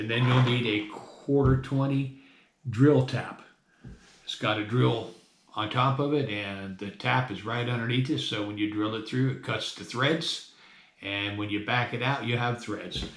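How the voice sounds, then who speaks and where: Audible room echo surrounds a man who talks at a fairly slow pace with fairly even intonation. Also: medium pitch for a man. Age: 60s. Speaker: hobbyist metal detectorist. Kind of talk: tutorial. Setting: at home desk. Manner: casual, conversational.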